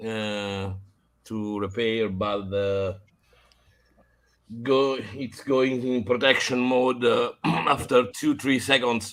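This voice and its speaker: Very slowly, a man with a medium pitch and a bright, sharp tone speaks with fairly even intonation on a very clean recording with a silent background. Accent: non-native. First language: not English. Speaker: vintage computer repair hobbyist. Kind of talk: casual chat. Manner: halting, many fillers.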